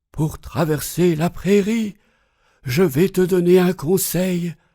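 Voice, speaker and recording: In a breathy, put-on character voice, the speaker goes very slowly with fairly even intonation. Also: man. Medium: read story.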